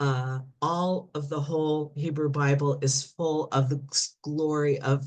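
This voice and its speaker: This woman's voice sits very deep and low. Her pitch is very deep for a woman. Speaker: astrology speaker. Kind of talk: lecture.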